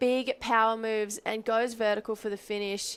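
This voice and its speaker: The speaker has an Australian accent and an animated tone, talking at a moderate pace. The recording is very clean, with a silent background. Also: woman. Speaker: surf commentator. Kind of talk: live commentary.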